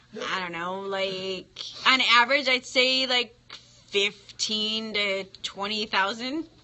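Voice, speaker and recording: Fairly high female voice, very slow delivery, usual pitch movement, noticeable noise in the background. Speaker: small business marketing person. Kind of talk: prank call.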